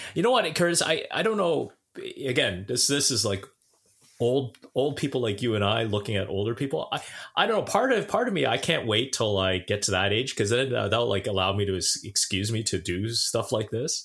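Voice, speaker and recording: On a very clean recording with a silent background, a man with a medium-pitched voice and a Southern Ontario accent talks at a fairly quick pace, his intonation lively and his loudness very even. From Southern Ontario, Canada (Brampton). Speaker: podcast co-host. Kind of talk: casual chat. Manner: stammering repetitions.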